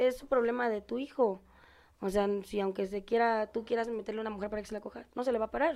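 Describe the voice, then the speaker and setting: The intonation stays fairly even while the pace is very fast. Behind it, the background is quiet. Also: woman, fairly high pitch for a woman. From Puebla, Mexico. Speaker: exotic dancer. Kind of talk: casual chat.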